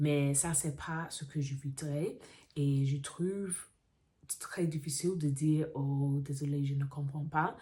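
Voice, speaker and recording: Very slowly, a woman speaks with a very deep, low pitch. Her tone is dark and mellow, and somewhat breathy. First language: English (speaking French). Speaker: vlogger, French learner. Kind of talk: casual vlog monologue. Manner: halting, with fillers and self-corrections.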